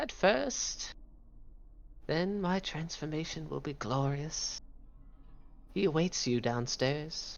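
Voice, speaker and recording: A put-on character voice at a middle pitch, fairly slow with long, frequent pauses, plus hissing and clear background noise. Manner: creepy, eerie.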